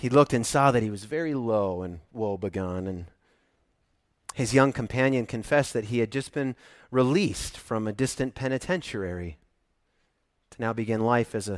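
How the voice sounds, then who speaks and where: A man with a medium-pitched voice talks at a moderate pace, pausing long and often. His pitch varies normally while his loudness swings widely, on a very clean recording with a silent background. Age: 50s. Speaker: pastor. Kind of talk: sermon.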